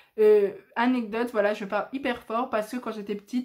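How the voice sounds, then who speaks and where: Animated and fairly high-pitched, a woman talks at a moderate pace over noticeable background noise. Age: 20s. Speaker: YouTuber. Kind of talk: casual vlog monologue. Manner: loud.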